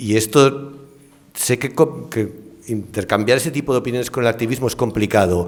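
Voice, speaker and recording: A man speaks at a moderate pace, his medium pitch moving with ordinary variation. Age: 60s. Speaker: ecology professor and scientist. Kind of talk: panel discussion. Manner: hesitant, with fillers.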